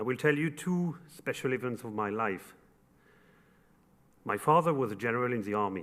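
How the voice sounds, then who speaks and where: A man with a French accent at medium pitch, moderate pace, lively intonation and long, frequent pauses. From France, Paris. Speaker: construction company executive. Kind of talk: formal speech.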